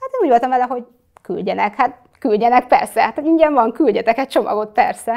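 Against a quiet background, a woman talks very fast in a high pitch with lively intonation. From Hungary, Kecskemét; Hungary. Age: 20s. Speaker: social media influencer; interview guest, influencer. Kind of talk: interview. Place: studio. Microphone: lapel.

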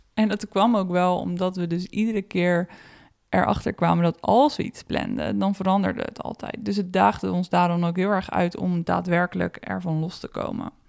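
Sounding dry and close with no echo, a woman speaks in an unremarkable speaking voice at a fairly low pitch. Her pace is moderate, with ordinary pitch variation. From Netherlands. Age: 30s. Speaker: podcast host. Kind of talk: reflective solo podcast monologue.

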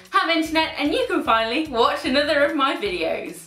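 A raised, projected voice comes at a fairly quick pace, with audible room echo. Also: woman. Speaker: style vlogger. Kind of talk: casual vlog chat. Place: home room.

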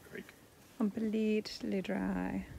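Light background noise accompanies a woman speaking at a very slow pace. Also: dry sound with no echo. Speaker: travel vlogger. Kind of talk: casual vlog chat. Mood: amused, amazed. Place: open country. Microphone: phone near.

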